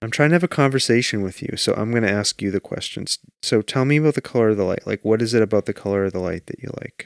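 A man's medium-pitched voice at a very fast pace with hardly any pauses and ordinary pitch variation, dry and close with no echo, on a very clean recording with a silent background. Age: 40s. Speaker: podcast host. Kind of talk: casual chat.

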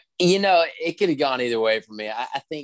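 A man with an unremarkable speaking voice talks fairly quickly, with ordinary pitch variation. The background is quiet and the sound is dry and close, with no echo. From West Virginia. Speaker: country singer-songwriter. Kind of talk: casual interview.

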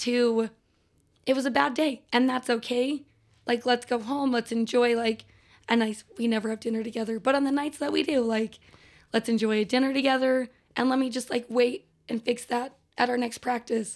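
In a very clean recording with a silent background, a woman speaks at a moderate pace with high pitch. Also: fairly even intonation. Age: 30s. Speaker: cheerleading coach. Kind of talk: casual chat.

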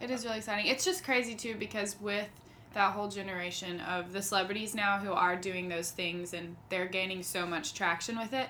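A woman's medium-pitched, fairly quick speech with fairly even intonation, audible room echo and noticeable background noise. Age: 20s. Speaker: singer-songwriter. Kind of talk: casual chat.

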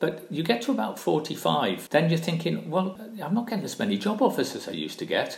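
With audible room echo around him, a man speaks at a very fast pace with a Welsh accent. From South Wales (Barry). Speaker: retired engineer and professor. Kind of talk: interview.

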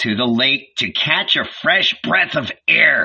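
A man performs a put-on character voice with a growl. He speaks at a fairly slow pace. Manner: growling, enraged.

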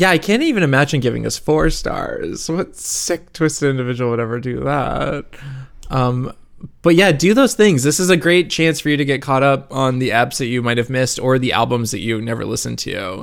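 A man speaks at a medium pitch with lively intonation. His pace is fairly quick. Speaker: music podcast co-host. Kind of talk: casual chat. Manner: animated.

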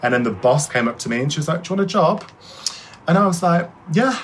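A man talks with an English Midlands accent and lively intonation. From Shropshire, England. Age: 20s. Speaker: hairdresser. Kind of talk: interview. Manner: fast.

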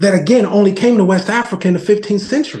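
A dark, mellow voice with an American accent and ordinary pitch variation. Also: man. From New Jersey. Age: 40s. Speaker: non-profit founder. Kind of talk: podcast interview.

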